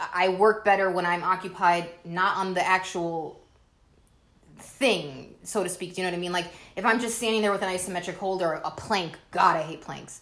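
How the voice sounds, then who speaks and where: A woman with an American accent and a medium pitch, a normal speaking voice at a moderate pace with fairly even intonation. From US, the Bronx, New York. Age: 30s. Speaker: host's wife. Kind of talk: casual chat.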